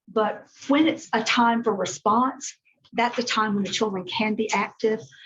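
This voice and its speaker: The speaker is a woman with a fairly high pitch. There is some breathiness in her voice. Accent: American. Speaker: children's ministry workshop leader. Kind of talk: workshop talk. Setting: church room with live audience, also streamed.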